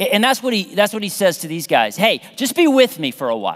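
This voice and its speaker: Animated in tone, a man talks with very wide pitch swings. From US South, then Midwest from adolescence. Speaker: pastor. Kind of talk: sermon. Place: church. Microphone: headset.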